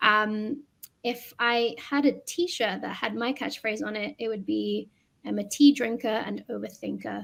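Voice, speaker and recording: In a London accent, a woman speaks at a fairly slow pace. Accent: British (London). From London, England. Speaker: educator. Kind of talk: podcast conversation.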